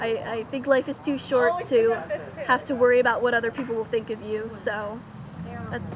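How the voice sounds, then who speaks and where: Against noticeable background noise, a woman speaks at a high pitch. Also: moderate pace. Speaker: cosplayer and tarot card reader. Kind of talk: interview at a festival. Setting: outdoors at a renaissance festival. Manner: halting, many fillers and repeats.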